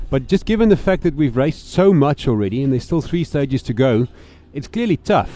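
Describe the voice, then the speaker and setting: A man with a dark, mellow tone and fairly high pitch speaks at a fairly quick pace with ordinary pitch variation. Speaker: motorsport podcast co-host. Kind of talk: casual chat.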